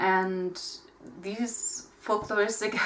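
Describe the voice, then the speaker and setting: A woman speaks with a German accent. Her pace is very slow. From Germany. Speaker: pagan content creator. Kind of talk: casual talk to camera.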